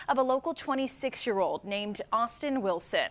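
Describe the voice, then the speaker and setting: With lively intonation, a woman talks at a moderate pace in an ordinary speaking voice. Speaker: news anchor and reporter. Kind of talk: TV news anchor delivery.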